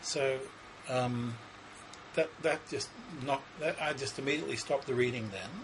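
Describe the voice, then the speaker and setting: At a moderate pace, a man with an Australian accent speaks at a medium pitch with ordinary pitch variation amid noticeable background noise. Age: 60s. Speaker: psychic. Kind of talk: interview. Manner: halting.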